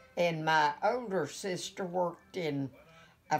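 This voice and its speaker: Very slowly, a woman speaks with an Appalachian accent. Her pitch is fairly low, with ordinary variation. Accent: Appalachian American. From West Virginia, USA. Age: 80s+. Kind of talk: interview answer. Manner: hesitant, reminiscing.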